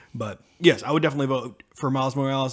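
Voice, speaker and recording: A man talks at a very fast pace in a fairly high voice. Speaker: podcast co-host. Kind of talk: casual chat.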